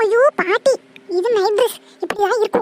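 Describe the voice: A squeaky, cartoonish character voice speaks at a fairly slow pace with fairly even intonation, the sound dry and close with no echo. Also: woman.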